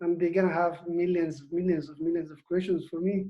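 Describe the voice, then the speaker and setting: A man with a high pitch and a non-native accent. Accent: foreign. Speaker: co-author, former refugee. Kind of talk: video Q&A.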